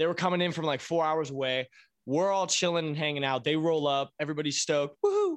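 A man with an American accent talks at a fairly quick pace. His pitch is fairly high, and the background is quiet. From Virginia Beach, Virginia. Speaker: drummer in a band. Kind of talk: casual chat. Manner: loud; animated.

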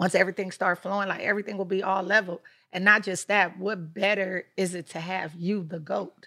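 Her tone is bright and sharp as the woman talks at a fairly quick pace with monotone, flat intonation. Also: medium pitch for a woman. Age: young. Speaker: PR company founder. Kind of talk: casual interview chat.

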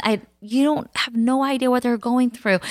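This woman talks at a very fast pace. Her words come in a rapid rush. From United States, child of Cambodian immigrants. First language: Khmer. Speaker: podcast co-host, mother of four. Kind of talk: casual chat.

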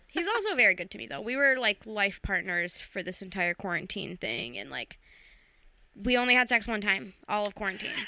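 The voice has a bright, sharp tone with vocal fry, moving at a fairly quick pace through big swings in loudness. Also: woman, medium pitch for a woman. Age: 30s. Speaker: comedian. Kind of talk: casual chat. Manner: animated.

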